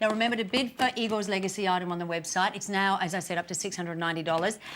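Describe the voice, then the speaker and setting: Speaking very fast, a woman talks with an Australian accent. Her pitch variation is ordinary. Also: medium pitch for a woman. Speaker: TV show host. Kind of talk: live TV interview.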